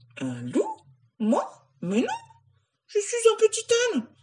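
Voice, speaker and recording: A woman performs a put-on character voice at an extremely high pitch. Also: fairly slow pace. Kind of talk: bedtime story. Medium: read story.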